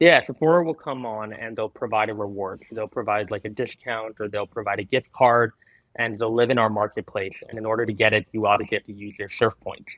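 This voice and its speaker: A man with an unremarkable speaking voice talks at a fairly quick pace with fairly even intonation. His loudness swings widely, and the sound is dry and close with no echo. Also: medium pitch for a man. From Canada. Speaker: startup founder. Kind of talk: interview.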